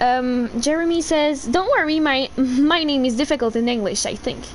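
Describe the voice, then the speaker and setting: A woman speaks loudly at a high pitch in a Quebec accent, with noticeable background noise. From Quebec, Canada. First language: French. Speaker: gaming livestreamer. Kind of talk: casual livestream chat.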